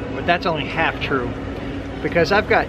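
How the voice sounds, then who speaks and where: There is noticeable noise behind this man as he talks. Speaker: vlogger. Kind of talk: casual vlog chat. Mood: wry, self-mocking humor. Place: street. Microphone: phone near.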